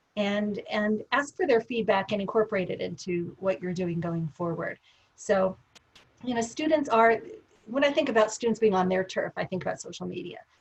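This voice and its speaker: Lively intonation from a woman with a somewhat breathy voice. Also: fairly high pitch for a woman. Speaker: professor. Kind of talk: webinar discussion. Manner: fast.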